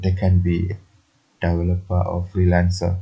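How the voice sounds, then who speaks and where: A man's very deep, low voice in a flat monotone, with music in the background. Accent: non-native. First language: not English. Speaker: programming tutorial youtuber. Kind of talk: tutorial. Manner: halting, many fillers.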